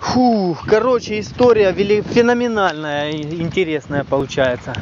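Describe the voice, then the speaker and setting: A man with a high-pitched voice speaks at a moderate pace. The sound is dry with no echo, and there is noticeable background noise. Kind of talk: casual vlog chat. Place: street. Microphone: phone near.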